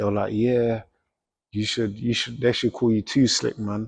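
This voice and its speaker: In a South London accent, a man at medium pitch speaks at a moderate pace with monotone, flat intonation, the sound dry and close with no echo and a quiet background. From South London, England. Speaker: professional boxer. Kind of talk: interview, casual chat. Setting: boxing gym.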